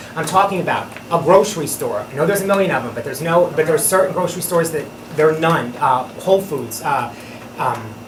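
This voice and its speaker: Amid noticeable background noise and audible room echo, a high-voiced man talks very fast. His pitch varies in an ordinary way. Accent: American. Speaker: town board member. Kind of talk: public meeting remarks. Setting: town board meeting.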